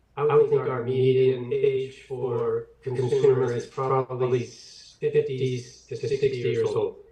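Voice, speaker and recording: A man speaks over noticeable background noise. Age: 70s. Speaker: cannabis business owner. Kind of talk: public meeting testimony.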